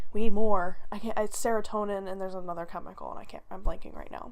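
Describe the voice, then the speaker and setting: While music plays behind her, a woman talks with ordinary variation in her pitch. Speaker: vlogger. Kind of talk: personal story vlog.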